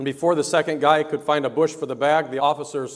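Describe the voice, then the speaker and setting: Against a quiet background, the talking goes at a fairly quick pace. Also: man. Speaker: pastor. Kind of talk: sermon. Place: church.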